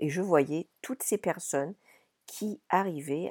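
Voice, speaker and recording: Dry and close with no echo, this very clean recording with a silent background has a woman speaking very slowly in a dark, mellow tone with lively intonation. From France, Paris region (born in Brittany). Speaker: podcast host and business coach. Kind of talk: solo monologue podcast. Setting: wooden chalet in Ireland.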